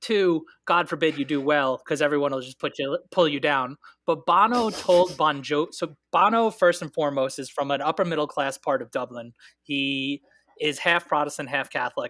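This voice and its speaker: At a moderate pace, a man speaks in a bright, sharp, animated tone with a fairly high pitch, recorded dry and close with no echo. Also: ordinary pitch variation. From Northern Ireland border region. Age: 30s. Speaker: guest on podcast, Irish political commentator. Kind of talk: casual chat, political discussion. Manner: animated, joking.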